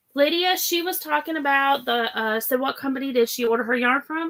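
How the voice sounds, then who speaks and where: Her tone is bright and sharp, and she speaks with a Southern US accent. The woman keeps a moderate pace with lively intonation. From Florida. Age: 50s. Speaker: crafting livestream host. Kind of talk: casual livestream chat.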